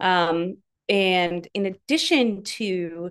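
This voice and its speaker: The background is quiet. A woman speaks at medium pitch. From US Midwest, northern Wisconsin. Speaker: communications director of a nonprofit. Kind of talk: interview.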